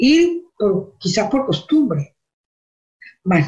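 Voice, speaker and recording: A woman's somewhat breathy, dark and mellow voice at a very slow pace, with very wide pitch swings. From Venezuela. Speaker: church lay teacher. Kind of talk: religious teaching.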